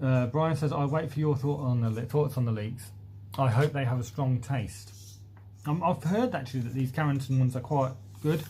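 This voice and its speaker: Speaking at a moderate pace, a man has a medium pitch and ordinary pitch variation. His tone is dark and mellow, and somewhat breathy. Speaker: allotment gardening youtuber. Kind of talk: live stream chat reading comments. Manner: casual with frequent fillers.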